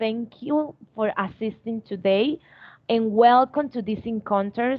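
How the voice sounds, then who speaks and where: A woman's fairly high voice, at a very slow pace. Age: 20s. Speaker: student English tutor. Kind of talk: online class. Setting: video call. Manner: hesitant.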